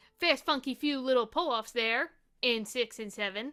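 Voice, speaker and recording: Music plays behind a speaker with a New York accent. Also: woman. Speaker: ukulele teacher. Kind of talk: tutorial.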